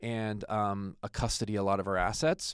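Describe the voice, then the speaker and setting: A man's fairly low-pitched, an ordinary speaking voice with an American accent and ordinary pitch variation, dry and close with no echo, in a very clean recording with a silent background. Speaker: attorney and podcast host. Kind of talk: podcast introduction. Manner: casual, joking.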